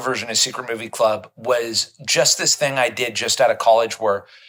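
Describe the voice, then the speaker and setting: His intonation lively, a man is speaking. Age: 40s. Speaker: film club founder and programmer. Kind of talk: casual chat. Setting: movie theater, in person. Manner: halting.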